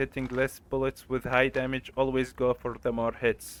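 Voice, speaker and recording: A man's medium-pitched voice with a non-native accent, at a fairly slow pace. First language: not English. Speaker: gaming tutorial creator. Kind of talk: tutorial. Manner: halting.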